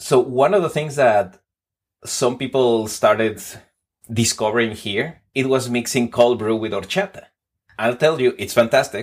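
The words arrive at a moderate pace. A Spanish accent colors them. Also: man, medium pitch for a man, ordinary pitch variation. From Mexico City. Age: 40s. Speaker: podcast guest, coffee enthusiast. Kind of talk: casual interview chat.

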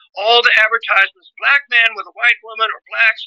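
In a dry, close recording with no echo, a man projects a raised voice at an extremely high pitch for a man, his tone bright and sharp and his pace fairly quick. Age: 70s. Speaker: author, pastor and teacher. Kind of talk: interview. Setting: phone call.

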